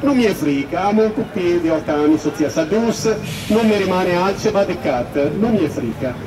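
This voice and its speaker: The intonation is lively. Noticeable background noise runs underneath. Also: man. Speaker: complainant, Italian citizen living in Romania. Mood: upset, indignant. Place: street.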